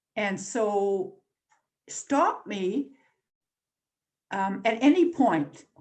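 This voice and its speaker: A woman's medium-pitched, somewhat breathy voice at a very slow pace, with lively intonation and long, frequent pauses. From Northern Ontario, Canada. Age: 80s+. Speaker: newspaper columnist and activist. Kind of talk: invited talk. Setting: video call.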